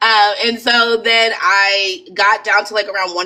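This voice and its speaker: A woman with an American accent speaks in a bright, sharp tone with fairly even intonation. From Maryland. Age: 20s. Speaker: cosmetic surgery patient. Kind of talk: testimony.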